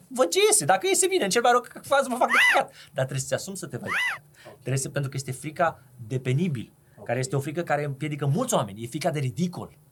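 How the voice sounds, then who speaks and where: Noticeable background noise surrounds a man speaking at a very fast pace. His fairly high voice makes very wide pitch swings. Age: 30s. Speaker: podcast host and entrepreneur. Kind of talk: casual chat.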